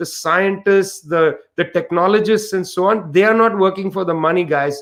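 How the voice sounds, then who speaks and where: A man's high voice with an Indian accent at a moderate pace. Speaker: author and researcher. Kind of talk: panel discussion. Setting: online livestream.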